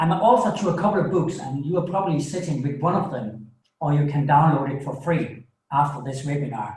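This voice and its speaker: A man with a Danish accent talks at a moderate pace in a somewhat breathy, fairly high voice with ordinary pitch variation, and the room echo is audible. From Denmark. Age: 50s. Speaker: coach and author. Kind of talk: webinar presentation. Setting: small home studio. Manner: halting, with many fillers.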